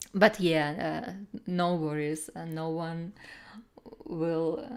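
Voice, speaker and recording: Fairly low in pitch, a woman speaks at a very slow pace. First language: Russian. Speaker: artist streamer giving art critiques. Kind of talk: live stream chat, art critique. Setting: live stream. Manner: halting, many fillers.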